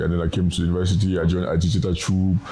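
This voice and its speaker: Over noticeable background noise, a man with a very deep, low pitch speaks at a very fast pace in a monotone, flat intonation. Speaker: TV personality and content creator. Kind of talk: interview.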